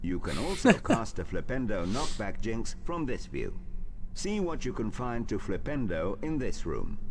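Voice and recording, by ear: A man puts on a robotic character voice at a medium pitch and a moderate pace, with loud background noise behind him.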